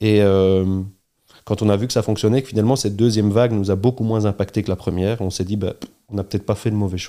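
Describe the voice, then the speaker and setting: A man's dark, mellow voice, fairly low in pitch with ordinary pitch variation, at a very fast pace. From Belgium, Charleroi region. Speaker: entrepreneur, restaurant chain co-founder. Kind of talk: interview conversation.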